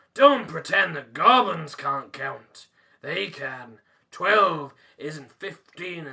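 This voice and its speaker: A man doing a put-on character voice growls in a raspy, high pitch, speaking very slowly with very wide pitch swings and big swings in loudness. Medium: read story. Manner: growling, blunt.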